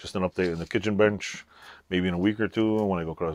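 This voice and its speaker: Very fast and very deep in pitch, a man speaks in a dry sound with no echo. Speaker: hobby woodworker vlogger. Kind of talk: casual vlog chat. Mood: joking, playful. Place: workshop.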